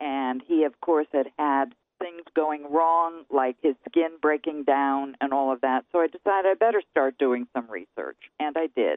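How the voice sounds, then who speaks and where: Delivered fairly slowly, the voice rises and falls with ordinary pitch variation. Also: woman, very deep, low pitch for a woman. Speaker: author and patient advocate. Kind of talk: radio interview.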